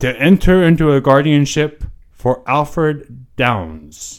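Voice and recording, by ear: A man puts on a wheezy character voice at a fairly high pitch and a fairly slow pace.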